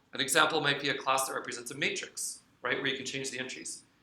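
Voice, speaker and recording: The room's echo is audible around a man whose voice sits fairly high. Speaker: lecturer. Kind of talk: lecture. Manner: fast.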